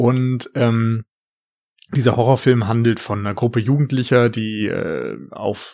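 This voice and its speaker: A man with an unremarkable speaking voice talks at a fairly slow pace, his pitch medium. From rural Germany. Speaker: film podcaster. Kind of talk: casual chat. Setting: remote call.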